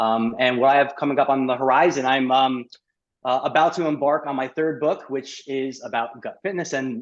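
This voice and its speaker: The speaker has an American accent and a fairly quick pace. Intonation stays fairly even over a quiet background. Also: man. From New York. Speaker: gut health specialist and chiropractor. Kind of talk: podcast interview. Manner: fast.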